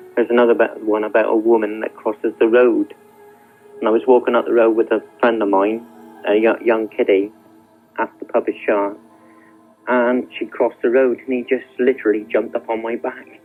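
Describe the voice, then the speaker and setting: Over music in the background, a man speaks at a fairly quick pace in a flat monotone. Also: medium pitch for a man. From Dorset. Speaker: radio phone-in caller. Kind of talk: phone call, telling a ghost story. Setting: phone line.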